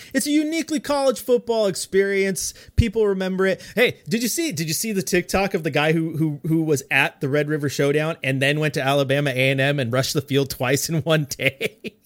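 Talking at a fairly quick pace, a man with a fairly high pitch sounds animated, recorded with a dry, close sound and no echo. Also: lively intonation. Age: 30s. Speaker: sports podcast guest. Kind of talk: casual chat.

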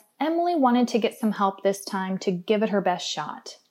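Lively in intonation and dark and mellow in tone, a woman's voice moves at a moderate pace on a very clean recording with a silent background. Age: 30s. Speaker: podcast host and interview coach. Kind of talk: scripted narration. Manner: clear, orderly.

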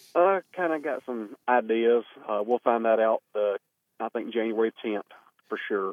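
A man's medium-pitched voice moves along at a moderate speed. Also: ordinary pitch variation. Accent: Southern US. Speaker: newly elected state legislator and former county party chair.

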